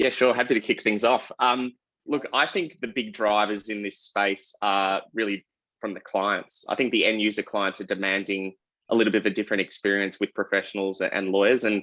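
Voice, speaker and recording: In an Australian accent, a man speaks fairly quickly with fairly even intonation. His fairly low voice has a bright, sharp tone. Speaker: lawyer and tech executive. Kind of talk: panel discussion. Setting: online video panel.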